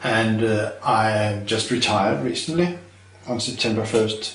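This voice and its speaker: A man with a Danish accent speaks at a fairly slow pace and fairly low pitch, with audible room echo and noticeable background noise. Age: 60s. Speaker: retired chemistry professor. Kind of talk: interview. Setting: filmed interview.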